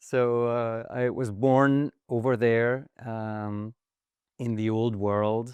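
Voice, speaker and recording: At a very slow pace, a man talks with a slight French accent. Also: quiet background. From rural France. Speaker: investor. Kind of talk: interview.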